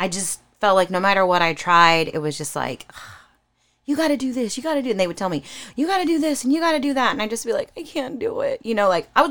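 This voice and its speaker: A woman's fairly high voice with an American accent at a very fast pace, full of very wide pitch swings and vocal fry, on a very clean recording with a silent background. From California. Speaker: singer. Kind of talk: casual chat.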